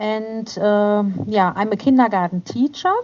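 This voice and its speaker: This woman has a German accent. Her pitch sits fairly high and varies in an ordinary way. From Germany. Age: 40s. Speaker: kindergarten teacher. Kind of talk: interview. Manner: halting.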